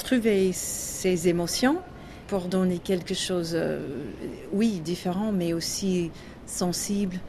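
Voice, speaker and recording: A woman delivers her words very slowly while noticeable background noise carries on behind her. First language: English (speaking French). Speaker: jazz singer. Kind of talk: interview. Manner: halting, with many hesitations.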